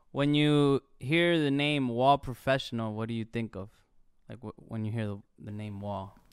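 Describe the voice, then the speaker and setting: A man talks at a moderate pace with a medium pitch, ordinary pitch variation and big swings in loudness. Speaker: podcast co-host. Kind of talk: casual interview. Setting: studio. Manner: animated.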